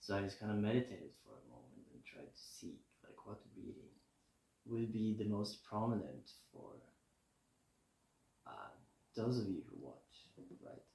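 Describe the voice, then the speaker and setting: A relaxed tone at a moderate pace, with long, frequent pauses and big swings in loudness. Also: man. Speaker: tarot reader. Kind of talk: casual tarot reading to camera. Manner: mumbling at times; relaxed, chill.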